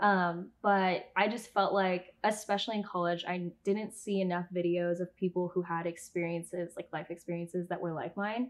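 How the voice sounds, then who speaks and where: In a West Coast accent, a woman speaks at a medium pitch and a moderate pace, with fairly even intonation and hardly any pauses. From Southern California. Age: 20s. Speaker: YouTuber and former pageant titleholder. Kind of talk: casual interview chat.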